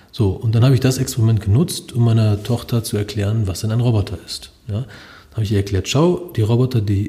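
In a dark, mellow, somewhat breathy tone, a man speaks at a fairly low pitch with ordinary pitch variation. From Germany, Lower Saxony (partly Upper Franconia). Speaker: robotics professor. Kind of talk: interview. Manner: hesitant, many filler sounds.

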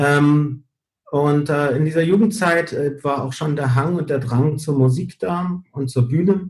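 Somewhat breathy, this man talks with a fairly high pitch and ordinary pitch variation. His pace is fairly slow. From Canary Islands (Gran Canaria), Spain. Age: 40s. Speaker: show director and entertainer. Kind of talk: interview.

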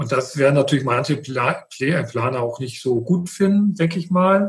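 A man with an unremarkable speaking voice, fairly high pitch, ordinary pitch variation and a moderate pace. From Mecklenburg, northeastern Germany. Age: 50s. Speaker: wastewater utility manager and process engineer. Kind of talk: podcast interview.

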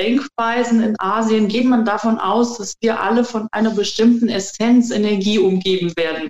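A woman with an unremarkable speaking voice, fairly high pitch and a fairly slow pace, in a dry, close sound with no echo. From Germany. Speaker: qigong trainer and alternative practitioner. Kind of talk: interview.

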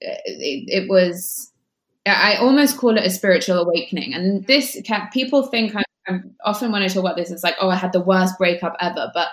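A woman with a somewhat breathy voice speaks at a fairly quick pace with ordinary pitch variation. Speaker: life coach. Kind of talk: casual chat. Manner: warm.

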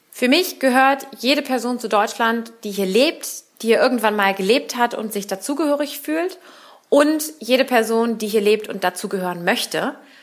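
A woman speaks fairly high at a moderate pace, with lively intonation. It is a plain, everyday voice. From Berlin, Germany. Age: 30s. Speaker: politician. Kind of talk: interview.

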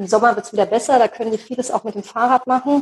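A woman speaks with a normal speaking voice at a fairly high pitch. Her pitch variation is ordinary. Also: dry, close sound with no echo. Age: 40s. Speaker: job coach and lecturer, single mother of four. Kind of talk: interview.

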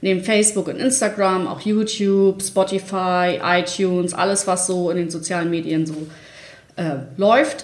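With audible room echo, a woman speaks at a medium pitch with ordinary pitch variation. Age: 30s. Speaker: online marketing manager. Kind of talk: casual interview. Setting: studio, sitting next to host.

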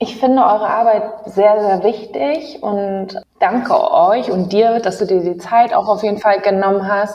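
Fairly slow, fairly high-pitched woman with an ordinary speaking voice, lively intonation and hardly any pauses. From Ghanaian diaspora in Germany. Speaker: podcast host. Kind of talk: interview.

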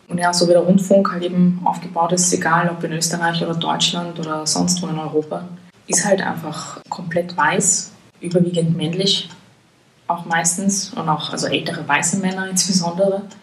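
Over noticeable background noise and audible room echo, a woman talks in a fairly low pitch with a monotone, flat intonation. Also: moderate pace. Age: 20s. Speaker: journalist. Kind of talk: casual interview. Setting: in person.

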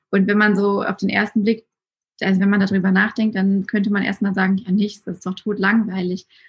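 Somewhat breathy and monotone, a woman talks at a fairly quick pace and a medium pitch with flat intonation. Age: 20s. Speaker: Instagram storytelling coach. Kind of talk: casual chat.

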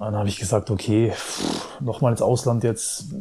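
Noticeable noise fills the background. A man's voice is heard over it. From Germany. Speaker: former pro footballer and pundit. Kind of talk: casual interview. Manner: hesitant, many fillers.

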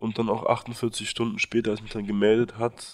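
At a fairly quick pace, a man talks at medium pitch. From Berlin, Germany. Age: 20s. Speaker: university student and aid volunteer. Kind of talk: interview. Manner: hesitant, many fillers.

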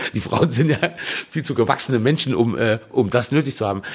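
Lively intonation marks this man's somewhat breathy voice as he speaks at a very fast pace. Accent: slight Saarland. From Saarland. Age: 40s. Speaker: punk band singer. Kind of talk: casual chat.

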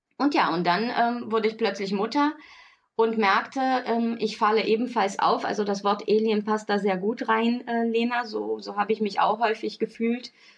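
A woman talks in a normal speaking voice at a moderate pace. Her pitch is fairly high, and her intonation stays fairly even. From Brazil. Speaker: podcast co-host, parenting blogger and mother. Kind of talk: casual chat.

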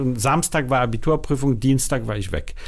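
In a normal speaking voice, a man talks at a moderate pace with a medium pitch and lively intonation on a very clean recording with a silent background. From Denmark, Copenhagen (born in Warsaw). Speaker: film festival director. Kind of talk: interview.

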